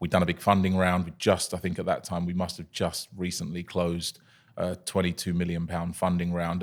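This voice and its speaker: A man with a southern English accent and a very deep, low pitch, fairly quick in pace, on a very clean recording with a silent background. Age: 30s. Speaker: coffee company founder. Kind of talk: podcast interview. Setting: studio.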